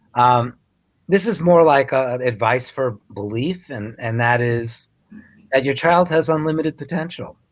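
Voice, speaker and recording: Long, frequent pauses break up a man's speech, which moves at a fairly slow pace with ordinary pitch variation. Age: 60s. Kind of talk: interview.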